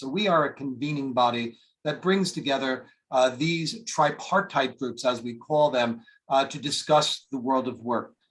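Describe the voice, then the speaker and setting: In an American accent, a man speaks at a fairly high pitch with ordinary pitch variation. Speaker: international organization official. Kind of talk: webinar presentation. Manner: fast.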